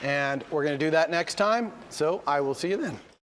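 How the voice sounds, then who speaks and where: This man's voice sits high in pitch, keeping a moderate speed and ordinary pitch variation. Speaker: university lecturer. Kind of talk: lecture.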